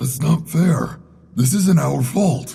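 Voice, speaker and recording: Putting on a raspy character voice, a man speaks fairly high for a man with ordinary pitch variation. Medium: audio drama. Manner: soft-spoken, placating.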